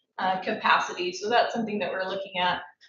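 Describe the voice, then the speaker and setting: Her voice carries audible room echo. It's a woman speaking. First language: Coastal Salish. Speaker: university staff committee chair. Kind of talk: formal report to a board meeting.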